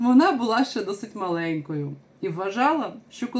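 Lively intonation in an unforced reading voice.

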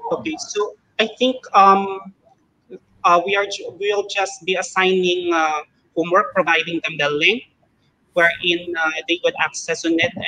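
A man with a Filipino accent speaks in a raised, projected voice, high in pitch. He goes at a fairly slow pace with long, frequent pauses. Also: ordinary pitch variation. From Philippines, Iloilo; Philippines. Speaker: elementary math teacher. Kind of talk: casual chat. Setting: video call. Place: home room. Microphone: video call.

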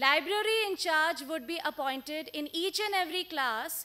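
A woman projects her voice with a bright, sharp tone. She speaks at a fairly slow pace with ordinary pitch variation. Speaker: presenter. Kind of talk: conference presentation. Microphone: podium.

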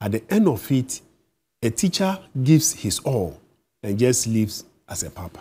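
A man's somewhat breathy, dark, mellow tone, with big swings in loudness, very wide pitch swings, and long, frequent pauses. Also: moderate pace. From Ghana. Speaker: teachers' union leader. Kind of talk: TV interview. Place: studio. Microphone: lapel.

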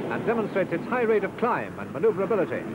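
Very fast, a man talks in a dry sound with no echo amid loud background noise. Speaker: newsreel narrator. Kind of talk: commentary. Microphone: old recording.

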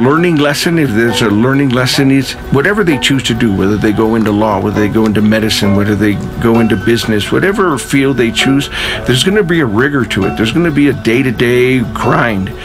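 Speech at a very fast pace plays over clear music in the background. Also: man. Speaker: cross-country head coach. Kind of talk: interview answer mixed with coaching instructions. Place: forest.

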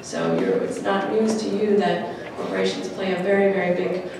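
There is audible room echo and clear background noise as a woman speaks at a medium pitch.

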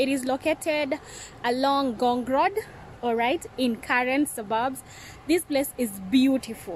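A high-pitched woman speaks at a fairly slow pace with ordinary pitch variation. The sound is dry with no echo, and light background noise is present. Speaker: vlogger reviewing a restaurant. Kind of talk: casual vlog chat. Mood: cheerful, enthusiastic. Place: garden. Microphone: phone near.

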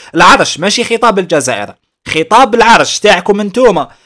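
With an Algerian accent, a man speaks in an animated tone, his pitch swinging very widely. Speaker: YouTube news commentator. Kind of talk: commentary while reading a news article.

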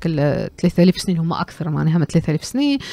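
The sound is dry, with no echo. A woman speaks at a fairly low pitch with lively intonation. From Tunisia. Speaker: cultural economy commentator. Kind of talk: radio discussion. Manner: halting, many fillers. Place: studio. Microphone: studio mic.

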